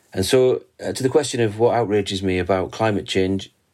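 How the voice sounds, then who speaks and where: Delivered at a moderate pace, a normal speaking voice rises and falls with ordinary pitch variation. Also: man. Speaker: musician in a band. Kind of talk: song introduction.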